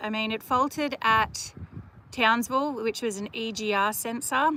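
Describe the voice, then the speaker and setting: A woman with an Australian accent speaks at a moderate pace in a bright, sharp tone. Her pitch is fairly high, with ordinary variation. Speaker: travel vlogger. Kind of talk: live stream chat. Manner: casual, chatty.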